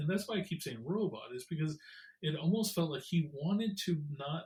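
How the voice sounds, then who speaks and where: A man with a fairly high pitch talks at a moderate pace using lively intonation. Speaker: podcast co-host, therapist. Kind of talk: casual podcast discussion. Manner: halting, many fillers and repeats.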